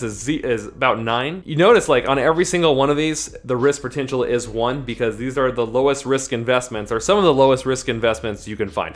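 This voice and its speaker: With music in the background, a man speaks at a fairly quick pace in a fairly high pitch with ordinary pitch variation. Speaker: personal finance youtuber. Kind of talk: tutorial. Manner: fast; casual.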